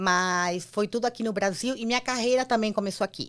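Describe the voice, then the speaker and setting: A woman's voice with ordinary pitch variation at a moderate pace. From Argentina. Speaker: entrepreneur, former marketing executive. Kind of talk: interview.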